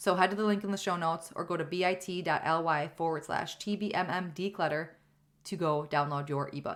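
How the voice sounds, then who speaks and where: A woman with a fairly low voice talks at a fairly quick pace. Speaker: podcast host. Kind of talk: solo podcast monologue. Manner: fast; animated.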